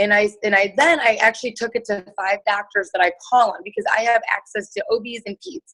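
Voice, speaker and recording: A woman speaks with a Chicago accent. Her pitch is fairly high. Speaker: nurse and network marketer. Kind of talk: testimony. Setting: video call. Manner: casual, many fillers.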